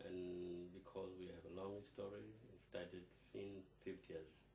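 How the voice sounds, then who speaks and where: A man speaks in a very deep, low pitch with a South Sudanese accent. His voice is somewhat breathy, and his intonation stays fairly even. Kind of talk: interview answer.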